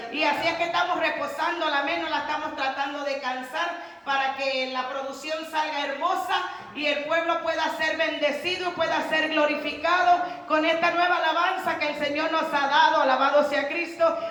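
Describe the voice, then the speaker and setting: The voice is loud and shouting, with audible room echo. Its intonation is flat and monotone. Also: woman, high pitch for a woman, moderate pace. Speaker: evangelist preacher. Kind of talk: sermon. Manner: loud, sounds like shouting.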